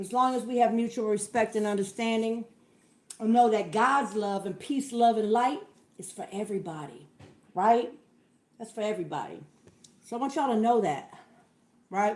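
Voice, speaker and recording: A woman's fairly high voice at a moderate pace, with big swings in loudness, ordinary pitch variation, and long, frequent pauses. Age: 50s. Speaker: livestream host. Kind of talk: casual livestream chat.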